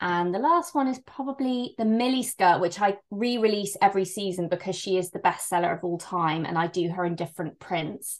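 Fairly quick speech in a West Country accent with hardly any pauses, ordinary pitch variation and a quiet background. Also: woman, medium pitch for a woman. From England, Bristol. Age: 30s. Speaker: fashion brand founder. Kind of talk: interview.

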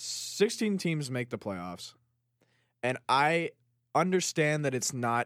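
In an American accent, this voice moves at a very slow pace with lively intonation on a very clean recording with a silent background. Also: man, dry, close sound with no echo. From Chicago. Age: 20s. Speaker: sports podcast co-host. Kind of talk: casual chat.

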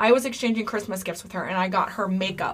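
Bright and sharp in tone, a woman's medium-pitched voice moves at a moderate pace with lively intonation. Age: 30s. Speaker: true crime podcast co-host. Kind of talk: casual chat.

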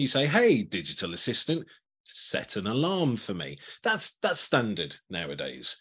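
A man at a medium pitch with vocal fry, a bright, sharp tone, very wide pitch swings and a fairly slow pace, against a quiet background. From Birmingham, England. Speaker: customer experience evangelist, former rock musician. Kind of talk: interview, conversational.

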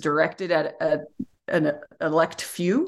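A woman speaks with a Utah accent. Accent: American (Utah). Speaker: philosophy professor. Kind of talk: interview.

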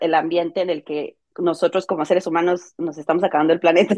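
A woman is speaking. She has a Mexican accent. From Mexico. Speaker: content creator and crafts teacher. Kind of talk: casual interview chat. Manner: fast.

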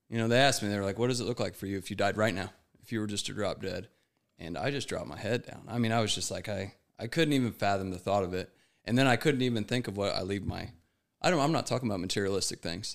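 Someone with an American accent talks at a very fast pace with ordinary pitch variation on a very clean recording with a silent background. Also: man, fairly low pitch for a man. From United States. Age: 30s. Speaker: guest in addiction recovery. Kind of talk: casual chat.

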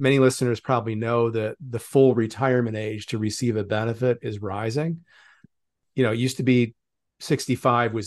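In a normal speaking voice, a man talks at a fairly quick pace and medium pitch. His intonation stays fairly even over a quiet background. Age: 60s. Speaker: retirement writer. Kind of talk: interview.

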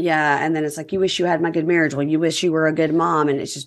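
A very fast delivery in a Southern US accent, on a very clean recording with a silent background. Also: woman. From Mississippi, US South. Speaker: podcast host, reality TV recapper. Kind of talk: casual chat.

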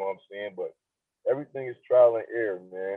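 With an American accent, a man in an ordinary speaking voice talks at a fairly quick pace, a medium pitch and ordinary pitch variation. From Niagara Falls, New York, US. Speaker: hip hop artist. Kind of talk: casual interview chat.

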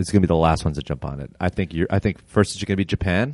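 With a Canadian accent, a man speaks at a very fast pace in a very deep, low pitch with ordinary pitch variation, the sound dry and close with no echo. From Toronto, Canada. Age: 30s. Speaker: stand-up comedian. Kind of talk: casual chat. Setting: games room in apartment building.

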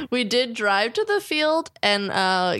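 A woman with an American accent and an unremarkable speaking voice, ordinary pitch variation, a moderate pace, and a very clean recording over a silent background. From New Jersey. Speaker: stand-up comedian. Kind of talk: casual chat.

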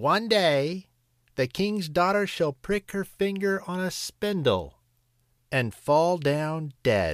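Putting on a character voice, a man speaks shrill and high at a very slow pace. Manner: screeching, furious.

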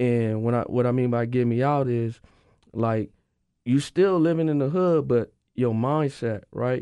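A man with an American accent speaks at medium pitch and a fairly slow pace. His tone is dark and mellow, his loudness very even, and his pitch varies in an ordinary way. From South Central Los Angeles. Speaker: former football player. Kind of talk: casual chat. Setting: studio.

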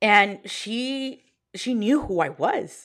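The recording is very clean, and the background is silent. On it, a woman talks with an American accent. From Texas Panhandle, Plainview. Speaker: teacher and business owner. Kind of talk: interview conversation.

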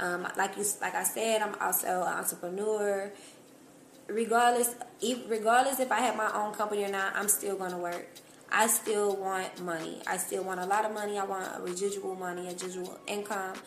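With audible room echo, a woman speaks in fairly even intonation. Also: medium pitch for a woman, fairly quick pace. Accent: American. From Cincinnati, Ohio, US Midwest. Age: young. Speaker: entrepreneur. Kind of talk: casual interview.

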